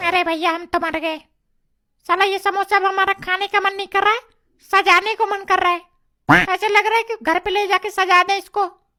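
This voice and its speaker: Delivered at a fairly quick pace, this cartoonish character voice sits at an extremely high pitch. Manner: impatient, loud.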